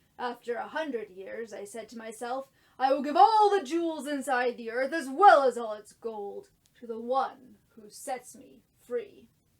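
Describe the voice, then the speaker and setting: A woman speaks in a put-on character voice at a moderate pace. Her pitch is high. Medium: read story.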